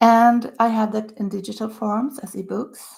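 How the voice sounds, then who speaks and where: A woman with a Swedish accent speaks with vocal fry in a very clean recording with a silent background. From Sweden, Stockholm. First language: Swedish (earlier Yiddish). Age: 60s. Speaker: author. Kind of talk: casual talk to camera.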